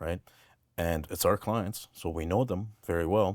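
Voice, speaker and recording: On a very clean recording with a silent background, a man speaks fairly slowly in a very deep, low voice with fairly even intonation. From Lebanon, Armenian community in Beirut. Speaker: welding business owner. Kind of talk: interview answer.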